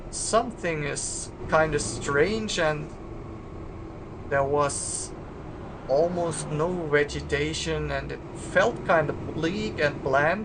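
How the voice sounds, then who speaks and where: With a non-native accent, a man at a fairly high pitch speaks very slowly with ordinary pitch variation, amid noticeable background noise and audible room echo. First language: not English. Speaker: gaming youtuber. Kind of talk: gameplay commentary. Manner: relaxed.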